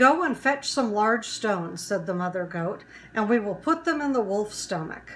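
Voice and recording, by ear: Lively intonation marks this reading aloud, done in a natural voice.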